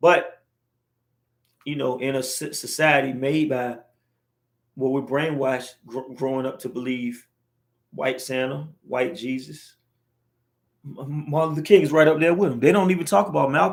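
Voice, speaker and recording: A man with a fairly high voice speaks in an animated tone at a moderate pace. His pitch varies in an ordinary way, and he takes long, frequent pauses. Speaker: livestream vlogger. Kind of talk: casual monologue livestream. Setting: livestream on camera.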